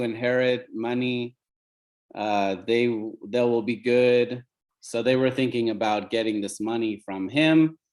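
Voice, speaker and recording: Over a quiet background, a man with an American accent speaks very slowly at a medium pitch. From US Pacific Northwest, Oregon. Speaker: company CEO. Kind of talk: team call talk, personal story.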